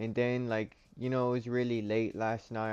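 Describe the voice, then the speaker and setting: A man talks at a fairly slow pace in an animated tone. Music plays in the background. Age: 30s. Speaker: livestreamer opening trading cards. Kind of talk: casual livestream chat. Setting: home livestream with webcam. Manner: loud; casual, animated.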